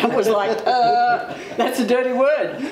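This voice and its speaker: With an Australian accent and lively intonation, a woman talks amid audible room echo and noticeable background noise. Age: 60s. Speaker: interviewee, senior LGBTI community member. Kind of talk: personal testimony.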